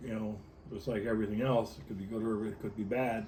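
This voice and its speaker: A man's somewhat breathy, dark and mellow voice at medium pitch, fairly quick pace, and audible room echo. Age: 60s. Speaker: electronics technician and union president. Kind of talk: interview. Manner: halting, many fillers and repetitions.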